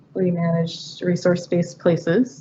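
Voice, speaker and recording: Over noticeable background noise, a woman speaks at medium pitch. Her pace is moderate. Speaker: graduate student researcher. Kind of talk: research presentation. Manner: quiet.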